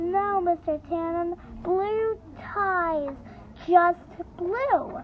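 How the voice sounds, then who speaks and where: Over clear background noise, a woman uses a put-on character voice at an extremely high pitch and a very slow pace. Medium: read story. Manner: stern, curt.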